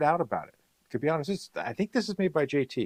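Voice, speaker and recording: A man speaks at a very fast pace. The sound is dry and close, with no echo. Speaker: paintball gear reviewer and livestreamer. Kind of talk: live stream product review. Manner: casual, hesitant with fillers.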